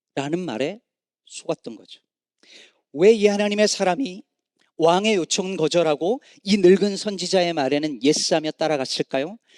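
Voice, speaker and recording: At a moderate pace, a man with a high pitch and lively intonation leaves long, frequent pauses, his loudness swinging widely in a dry, close sound with no echo. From Korea, Chungcheong province. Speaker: pastor. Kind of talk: sermon.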